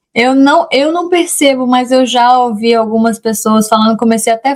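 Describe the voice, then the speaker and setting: This is a woman speaking at a moderate pace. Her pitch variation is ordinary. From Brazil, Rondônia. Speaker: immigration lawyer. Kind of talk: interview. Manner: halting, with many self-corrections.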